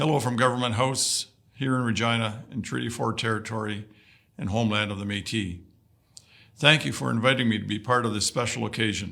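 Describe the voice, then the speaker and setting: This man's voice has a bright, sharp tone and vocal fry at a medium pitch. He talks at a fairly quick pace with ordinary pitch variation. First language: Woodland Cree. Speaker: vice-regal dignitary. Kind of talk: prepared ceremonial address. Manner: formal.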